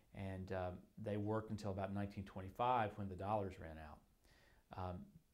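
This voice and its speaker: With an unremarkable speaking voice, a man talks at a moderate pace with a fairly low pitch and fairly even intonation. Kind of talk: interview answer. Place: office. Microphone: lapel.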